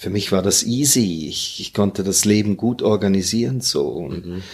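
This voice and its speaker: On a very clean recording with a silent background, a man with a fairly low pitch talks at a moderate pace in an ordinary speaking voice. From Hong Kong, Germany and Singapore. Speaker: retired airline captain. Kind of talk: casual interview.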